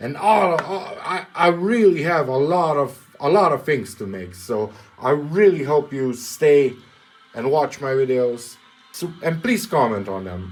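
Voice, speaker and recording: A man with a non-native accent speaks at a fairly slow pace in a fairly high pitch, with very wide pitch swings. Music plays in the background. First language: not English. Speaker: welder and maker YouTuber. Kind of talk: casual vlog talk to camera. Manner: halting, repeats words.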